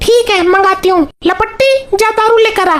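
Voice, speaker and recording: Putting on a character voice, a woman speaks in an extremely high, squeaky pitch at a moderate pace. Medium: cartoon.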